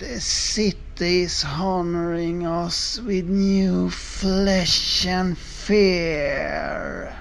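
Hissing and clear background noise run under speech that moves at a very slow pace with hardly any pauses. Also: man, high pitch for a man. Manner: hissing, gleeful menace, steady commands hiding rage.

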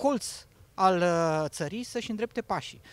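A man speaks in a dry recording with no echo. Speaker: digital agriculture product specialist. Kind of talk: promotional interview. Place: open country. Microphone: handheld.

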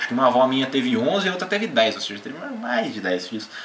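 Amid noticeable background noise and audible room echo, a man talks in an animated tone with very wide pitch swings. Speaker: gaming YouTuber. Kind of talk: casual vlog. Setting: home.

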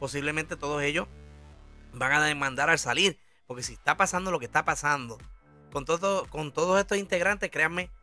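Over music in the background, a man with a Puerto Rican accent speaks at a fairly quick pace. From Puerto Rico. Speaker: online commentator. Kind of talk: casual talk to camera, entertainment news commentary.

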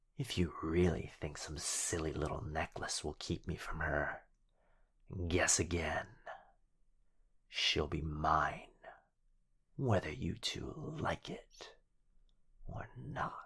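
Whispering in a put-on character voice, the speaker takes a very slow pace with long, frequent pauses and a smug, menacing tone. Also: man. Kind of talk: yandere ASMR roleplay. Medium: audio drama. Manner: taunting, smug, gloating, playfully menacing.

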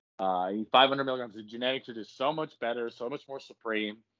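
A man speaks with a normal speaking voice at a medium pitch. His pace is moderate. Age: 20s. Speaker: bodybuilder and social media creator. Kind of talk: casual chat.

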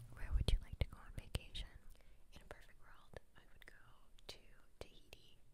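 Someone whispers with long, frequent pauses. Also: fairly quick pace. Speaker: ASMR creator. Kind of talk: ASMR whispering. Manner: whispering; soft-spoken. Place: home room.

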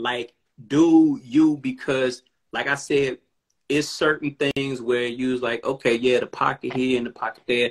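A man at a moderate pace, with a quiet background. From Chicago. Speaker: rapper. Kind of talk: casual chat. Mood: relaxed, appreciative. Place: home room. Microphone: phone near.

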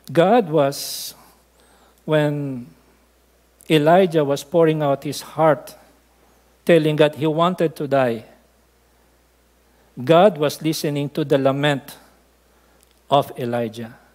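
Speaking slowly with long, frequent pauses, a man uses a fairly high pitch and a slightly mellow tone, with ordinary pitch variation.

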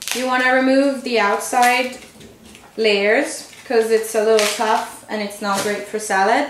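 Amid noticeable background noise, a woman talks at a fairly slow pace with long, frequent pauses. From Italy, Tuscany. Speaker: cooking video host. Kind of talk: tutorial. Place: kitchen.

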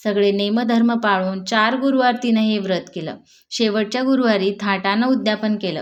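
In a natural voice, the text is read aloud.

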